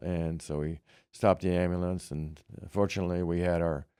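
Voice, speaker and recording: A man with a Midwestern US accent speaks at a moderate pace in a very deep, low pitch and a dark, mellow tone. His intonation is monotone and flat, and the recording is very clean with a silent background. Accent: US Midwest. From Kansas. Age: 80s+. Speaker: Vietnam veteran. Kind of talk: oral history interview. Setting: library. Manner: halting.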